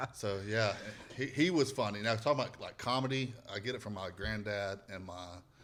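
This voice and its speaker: A man with a strong Southern US accent talks at a fairly quick pace and a fairly low pitch. His loudness swings a lot, while his pitch varies in an ordinary way. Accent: thick Southern. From US South, northwest Alabama. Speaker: comedian and podcast host. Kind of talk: casual chat.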